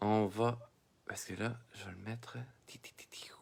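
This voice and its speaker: Someone with a Quebec accent speaks at a fairly slow pace in a bright, sharp tone on a very clean recording with a silent background. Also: man. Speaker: drawing teacher. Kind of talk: live-streamed drawing lesson. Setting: Facebook live stream, computer and camera. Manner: hesitant, many fillers.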